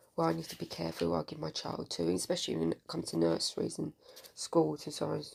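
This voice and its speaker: A woman mumbling at a very fast pace. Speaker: political commentator vlogger. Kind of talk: casual monologue.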